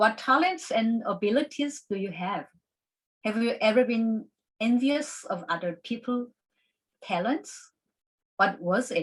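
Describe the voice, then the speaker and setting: A woman speaks in a fairly high, somewhat breathy voice with a Korean accent. Her intonation is lively and her pace fairly slow. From South Korea. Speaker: classical pianist and piano teacher. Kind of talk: conference presentation. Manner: halting.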